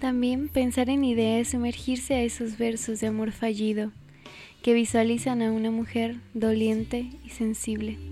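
Music plays in the background as a woman speaks at a fairly slow pace. Her fairly high voice has a monotone, flat intonation. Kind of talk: poetry reading. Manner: slow, intimate, wistful.

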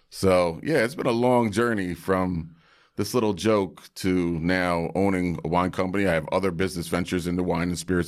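A man talks fairly quickly at a very deep, low pitch, with fairly even intonation and very even loudness. The recording is very clean, with a silent background. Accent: New York. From Brooklyn, New York. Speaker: hip-hop producer and wine entrepreneur. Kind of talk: casual chat.

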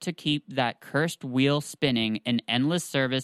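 The speaker reads plainly aloud with ordinary pitch variation.

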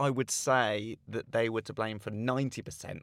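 A man talks at a moderate pace in a southern English accent. The recording is very clean and dry, close with no echo, over a silent background. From south-east England, Slough. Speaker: comedian. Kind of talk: casual chat.

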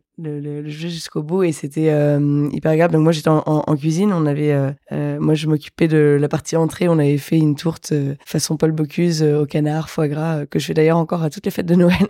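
Quick-paced and monotone, a woman with a very deep, low pitch speaks in a dark, mellow tone with flat intonation at a fairly quick pace. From Lorraine, France (Metz). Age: 20s. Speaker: association founder. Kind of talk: casual interview. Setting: at home.

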